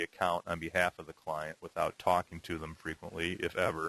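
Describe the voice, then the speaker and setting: A man talks at a fairly quick pace in a dry, close sound with no echo. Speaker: exam prep instructor. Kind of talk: tutorial. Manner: fast.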